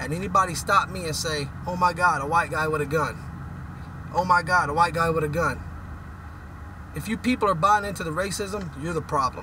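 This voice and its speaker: Over noticeable background noise, a man with a high pitch talks at a moderate pace in an animated tone, with ordinary pitch variation and long, frequent pauses. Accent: American. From West Texas, Midland. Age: 30s. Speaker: oil and gas worker, vlogger. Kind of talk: opinion rant.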